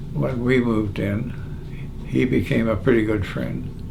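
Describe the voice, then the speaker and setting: A man with an Ontario accent and lively intonation, fairly slow, over noticeable background noise. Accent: Canadian (Ontario). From Hamilton, Ontario, Canada. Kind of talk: interview answer.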